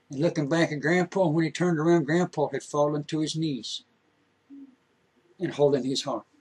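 Speaking at a moderate pace, a man has a fairly high pitch, a slightly mellow tone and a slightly husky edge. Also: fairly even intonation.

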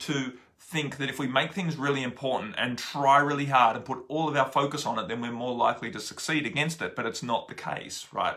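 Fairly quick delivery from a man, intonation fairly even. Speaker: spiritual teacher. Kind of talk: casual vlog chat. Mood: calm, earnest. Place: home room. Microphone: phone near.

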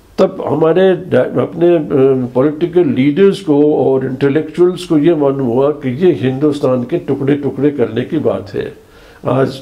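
This man's pitch moves in an ordinary way. He talks very slowly. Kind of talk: interview answer. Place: home room. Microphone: lapel.

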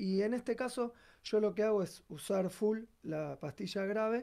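Dark and mellow in tone, a man speaks at a fairly slow pace. His pitch varies in an ordinary way against a quiet background. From Argentina. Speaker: bassist and singer; guest. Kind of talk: tutorial. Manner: halting, many fillers. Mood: calm, explanatory. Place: studio.

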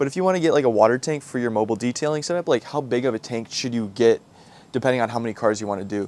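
The man talks very fast with ordinary pitch variation, in a dry sound with no echo. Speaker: car detailing creator. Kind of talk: casual vlog chat. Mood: upbeat, laughing. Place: garden. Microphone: lapel.

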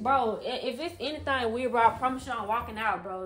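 The speaker is a woman whose voice is fairly high. Background noise is clearly noticeable. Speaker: co-host of couple's YouTube channel. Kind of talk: casual, slangy, informal. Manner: emotional, upset, defensive. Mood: annoyed, offended. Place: home room.

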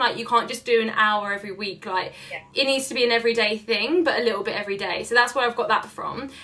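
A woman with a London accent speaks very fast with hardly any pauses. Her pitch is high, with ordinary variation. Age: 20s. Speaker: social media entrepreneur; podcast guest. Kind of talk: casual chat. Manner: animated. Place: home room. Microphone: webcam.

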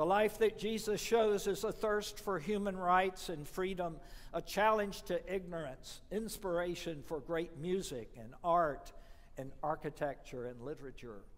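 At a fairly slow pace, a man with an American accent speaks in a high pitch with lively intonation. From US South. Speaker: priest. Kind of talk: sermon. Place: church.

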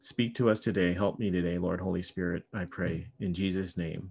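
Fairly even in intonation, a man speaks at a fairly slow pace with a very deep, low pitch. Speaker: pastor. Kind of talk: sermon. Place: home room. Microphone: webcam.

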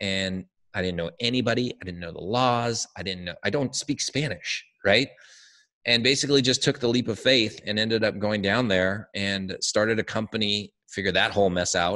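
A fairly low male voice with an American accent, a bright, sharp tone, ordinary pitch variation, and a moderate pace, against a quiet background. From Southern California. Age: 40s. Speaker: digital agency founder. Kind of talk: interview. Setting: video call. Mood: friendly, upbeat. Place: home room. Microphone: studio mic.

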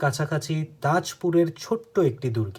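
A high-pitched man with lively intonation, on a very clean recording with a silent background. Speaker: book narrator and channel host. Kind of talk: reading aloud; casual commentary.

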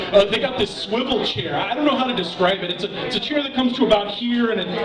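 Noticeable background noise fills the recording. Over it, a man rattles along at a very fast pace. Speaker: stand-up comedian. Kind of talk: stand-up comedy routine. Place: bar.

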